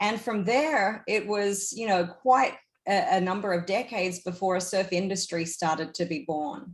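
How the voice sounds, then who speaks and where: This speaker has an Australian accent, a moderate pace and ordinary pitch variation. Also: woman, medium pitch for a woman. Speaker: surf industry executive. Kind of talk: panel discussion.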